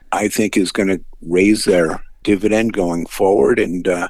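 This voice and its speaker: Speaking at a moderate pace, a man with a very deep, low pitch delivers his words in a monotone, flat intonation. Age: 60s. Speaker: financial analyst. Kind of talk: radio interview.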